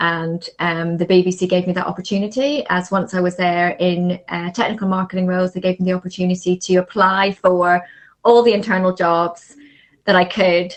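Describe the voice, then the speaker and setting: With a Northern Irish accent, a woman talks at a moderate pace, her medium pitch carried by fairly even intonation. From Northern Ireland. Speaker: marketing agency founder. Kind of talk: podcast interview.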